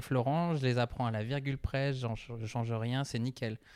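With a dry, close sound and no echo, a man speaks at a moderate pace and medium pitch with ordinary pitch variation. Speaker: stand-up comedy student. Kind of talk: casual chat. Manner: soft-spoken.

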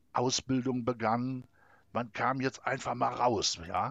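Heard against a quiet background, a man speaks at medium pitch in a dry, close sound with no echo. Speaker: civil servant. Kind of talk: personal storytelling interview.

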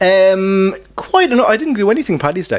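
A man speaks with an Irish accent. There is noticeable background noise. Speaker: podcast co-host. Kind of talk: casual chat. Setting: pub.

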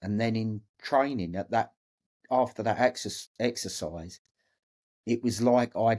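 A man with an English accent speaks at a medium pitch and a fairly slow pace. His pitch varies in an ordinary way. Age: 50s. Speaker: former Royal Marine and record-breaking ocean rower. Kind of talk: interview storytelling.

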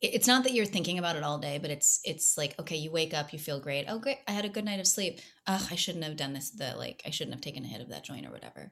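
Talking very fast with hardly any pauses, a woman uses a very deep, low voice with vocal fry and lively intonation. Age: 30s. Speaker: actress. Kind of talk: casual chat. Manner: animated.

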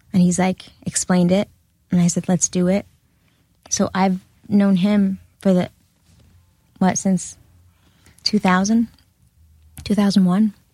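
Long, frequent pauses break up a fairly slow, somewhat breathy delivery with a dark, mellow tone and monotone, flat intonation, heard in a dry, close sound with no echo. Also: woman, medium pitch for a woman. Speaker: former reality TV cast member. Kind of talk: casual chat.

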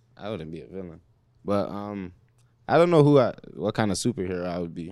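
In a very clean recording with a silent background, a man speaks very fast at a fairly low pitch, with ordinary pitch variation and long, frequent pauses. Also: big swings in loudness. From Toronto, Canada. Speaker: basketball player. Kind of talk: casual chat.

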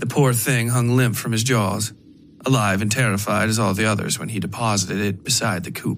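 The clip is plain reading aloud, and the intonation is fairly even.

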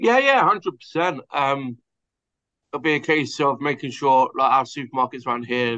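A man with an English accent speaks at a fairly high pitch. His pace is moderate, with ordinary pitch variation. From southern England. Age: 30s. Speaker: pub co-manager in recovery. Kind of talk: testimony. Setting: remote call.

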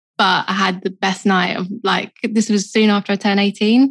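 Against a quiet background, a woman with a South London accent speaks in a flat monotone. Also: dry, close sound with no echo. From South East London. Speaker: photographer. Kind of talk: interview conversation.

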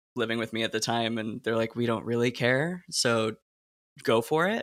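A man speaks with a bright, sharp tone. The recording is very clean with a silent background. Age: 30s. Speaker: podcast host and actor. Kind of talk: interview.

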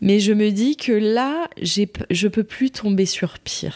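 A woman speaks very slowly at a medium pitch. Her voice sounds dry and close, with no echo. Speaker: pregnant woman sharing her co-parenting story. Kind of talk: testimony. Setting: recorded at the host's home.

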